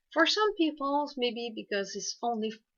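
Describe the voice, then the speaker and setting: A woman speaks in a French accent. Her pace is fairly slow and her intonation lively. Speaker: hypnotherapist. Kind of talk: informational talk to camera. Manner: halting, many fillers.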